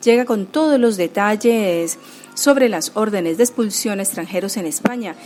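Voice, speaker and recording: Against background music, a woman with a fairly high voice talks at a moderate pace with ordinary pitch variation. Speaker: radio host and coordinator. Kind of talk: radio show presenting.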